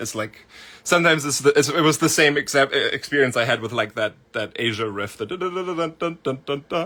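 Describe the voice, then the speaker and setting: Heard in a very clean recording against a silent background, the voice has a bright, sharp tone, ordinary pitch variation and a fairly quick pace. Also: man. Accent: German. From Germany. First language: German. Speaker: music producer. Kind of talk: livestream Q&A. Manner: casual, filler-heavy.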